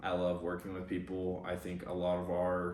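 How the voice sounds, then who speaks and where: With audible room echo, a man speaks at a moderate pace in a very deep, low voice with monotone, flat intonation. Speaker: competitive bodybuilder and fitness coach. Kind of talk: casual vlog and Q&A.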